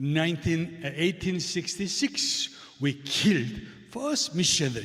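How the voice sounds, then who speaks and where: A man speaks with a Korean accent at a fairly slow pace. His pitch is high, with very wide swings. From South Korea. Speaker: visiting missionary preacher. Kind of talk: sermon with interpreter. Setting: church. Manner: short phrases with pauses for interpreter.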